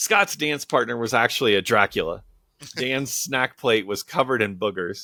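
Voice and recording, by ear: A text read aloud in a natural voice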